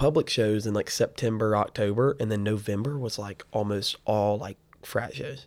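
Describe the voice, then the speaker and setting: Recorded very cleanly with a silent background, a normal speaking voice moves at a moderate pace with ordinary pitch variation. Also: man. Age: young. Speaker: band manager. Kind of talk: casual chat.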